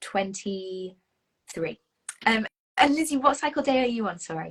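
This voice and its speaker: A woman with a British accent speaks at a fairly slow pace, her fairly high voice somewhat breathy and swinging very widely in pitch. The sound is dry and close, with no echo. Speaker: Enneagram coach. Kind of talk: casual chat.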